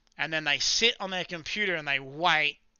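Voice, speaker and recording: A man with an Australian accent and a fairly high pitch. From South Australia, Adelaide. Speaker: live-streaming day trader. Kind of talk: live stream chat with viewers. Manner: casual, conversational.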